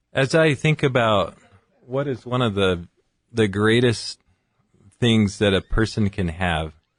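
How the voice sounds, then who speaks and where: Against a quiet background, a man at a medium pitch speaks at a fairly slow pace with lively intonation and long, frequent pauses, in a dry, close sound with no echo. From California (Fresno). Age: 40s. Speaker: physician. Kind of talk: radio interview.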